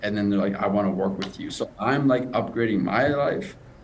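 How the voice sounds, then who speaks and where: A man with a Canadian accent talks at a fairly quick pace and a fairly low pitch. Noticeable background noise and audible room echo surround him. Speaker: stutter coach. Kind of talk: interview.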